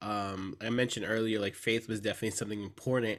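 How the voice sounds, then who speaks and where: A medium-pitched man with an American accent on a very clean recording with a silent background. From San Antonio, Texas. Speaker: seminary student, former pastor. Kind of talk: casual conversational interview. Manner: hesitant, many fillers.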